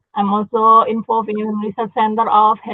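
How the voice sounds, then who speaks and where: A woman with an Indonesian accent speaks at a fairly high pitch. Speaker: university dean and health researcher. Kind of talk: conference presentation. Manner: halting, many fillers.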